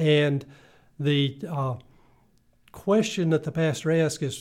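A man with a South Carolina accent speaks at a fairly high pitch with fairly even intonation. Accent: Southern US (South Carolina). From US South, upstate South Carolina (Greenville). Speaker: retired pastor. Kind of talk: interview.

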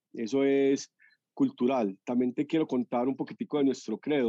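A man's dark, mellow voice in a Medellín accent, fairly slow, with monotone, flat intonation and a dry, close sound with no echo. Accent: Medellín (paisa). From Colombia, Medellín. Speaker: entrepreneur, restaurant co-founder. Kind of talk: interview.

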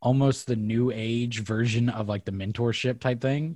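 A man speaks at medium pitch in a dark, mellow tone that is somewhat breathy. His pitch varies in an ordinary way. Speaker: podcast host. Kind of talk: casual interview. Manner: halting.

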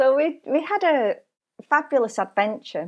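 A woman speaks fairly slowly with a Lancashire accent and ordinary pitch variation. The recording is very clean, with a silent background. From northern England, Burnley, Lancashire. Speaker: spiritual coach and author. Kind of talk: interview, life story.

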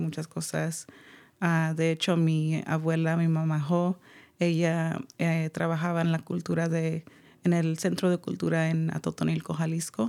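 A woman's fairly low, monotone voice with flat intonation at a fairly slow pace. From California Central Valley. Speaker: artist. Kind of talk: radio interview.

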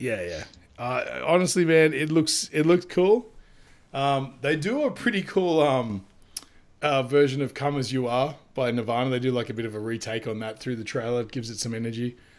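On a very clean recording with a silent background, a man speaks at a fairly quick pace with medium pitch and lively intonation. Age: 30s. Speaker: podcast host and comic illustrator. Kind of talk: casual chat. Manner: animated.

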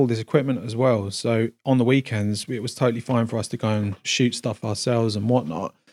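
At a fairly quick pace, a man talks in a dry, close sound with no echo on a very clean recording with a silent background. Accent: London. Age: 40s. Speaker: cinematographer and music producer. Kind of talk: casual chat. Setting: home studio.

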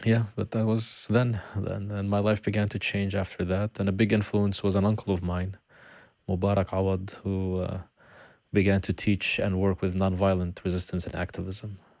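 A man speaks at a moderate pace with a fairly low pitch and a monotone, flat intonation. The recording is very clean, with a silent background. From Palestine, Bethlehem. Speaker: peace activist. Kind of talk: interview conversation.

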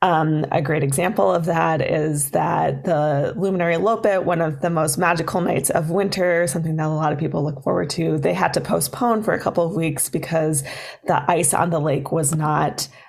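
A woman talks at a moderate pace with hardly any pauses, her very deep, low voice showing vocal fry and ordinary pitch variation. Her loudness stays very even, and room echo is audible. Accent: American. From Minnesota, Duluth. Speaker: festival development director. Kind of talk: interview. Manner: hesitant, many fillers.

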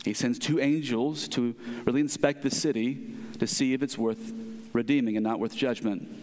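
Speaking at a moderate pace with lively intonation and very even loudness, the man has a normal speaking voice at medium pitch. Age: 30s. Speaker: pastor. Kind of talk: sermon.

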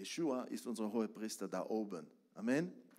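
A man with an Israeli accent at a moderate pace. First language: Hebrew (speaking German). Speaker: preacher. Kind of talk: sermon. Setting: church.

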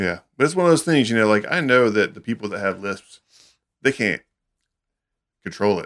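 Against a quiet background, a fairly low-pitched man with a Southern US accent speaks at a moderate pace with lively intonation and long, frequent pauses. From US South, Alabama. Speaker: recording studio engineer. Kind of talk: casual chat.

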